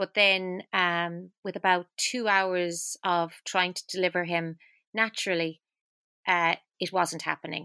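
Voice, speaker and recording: In a very clean recording with a silent background, a woman with an Irish accent speaks at a fairly low pitch in a bright, sharp tone with monotone, flat intonation. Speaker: singer and near-death survivor. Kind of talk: casual chat.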